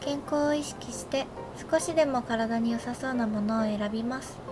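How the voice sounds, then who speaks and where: A quiet woman's high voice at a moderate pace, with ordinary pitch variation and music in the background. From Japan. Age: 20s. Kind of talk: game video voice-over narration. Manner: quiet, low-energy.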